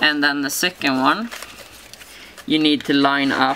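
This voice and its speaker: A woman speaks with a non-native accent in a very deep, low pitch. Noticeable background noise can be heard. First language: not English. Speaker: papercraft tutorial maker. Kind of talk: tutorial. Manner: halting, many fillers.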